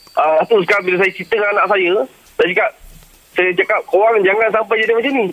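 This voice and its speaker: A man talks at a very fast pace, high in pitch and at very even loudness. The sound is dry and close with no echo, though background noise is noticeable. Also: ordinary pitch variation. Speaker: radio caller. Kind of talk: personal story on a phone-in.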